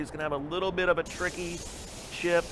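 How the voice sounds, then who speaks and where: A man talks in a high voice while noticeable noise fills the background. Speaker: esports commentator. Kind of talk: play-by-play game commentary.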